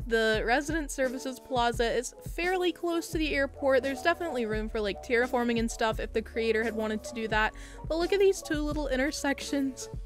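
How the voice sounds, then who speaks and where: Over music in the background, a woman with a high pitch sounds upbeat and enthusiastic, her intonation lively and her speech with hardly any pauses. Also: fairly quick pace. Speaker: gaming YouTuber. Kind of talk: casual gameplay commentary voiceover. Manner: upbeat, enthusiastic.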